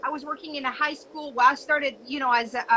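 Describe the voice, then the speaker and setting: A raised, projected voice in a French accent, with ordinary pitch variation and noticeable background noise. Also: woman. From France, suburb of Paris. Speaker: entrepreneur and business coach. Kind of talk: casual interview.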